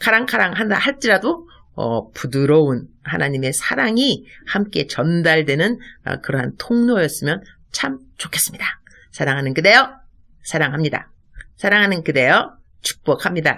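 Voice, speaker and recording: This woman's voice sits very deep and low, with very wide pitch swings and a tone both bright, sharp and warm. She speaks at a moderate pace. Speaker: missionary pastor. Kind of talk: devotional sermon. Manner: warm, repetitive.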